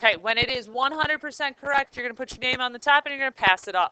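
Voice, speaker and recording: In a bright, sharp tone, a woman projects her high-pitched voice at a very fast pace with ordinary pitch variation, recorded dry and close with no echo. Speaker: high school math teacher. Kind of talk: classroom lecture. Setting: classroom.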